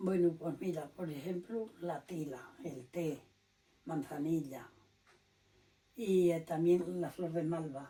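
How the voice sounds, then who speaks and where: A woman speaks very slowly at a fairly low pitch, with ordinary pitch variation. She leaves long, frequent pauses. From Spain, Liébana (Cantabria). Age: 90s. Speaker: elderly villager. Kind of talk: oral history interview.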